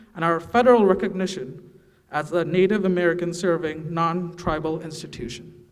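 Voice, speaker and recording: With noticeable background noise behind him, a man talks at a fairly quick pace in a high pitch with ordinary pitch variation. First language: not English. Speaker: emcee. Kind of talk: formal announcements.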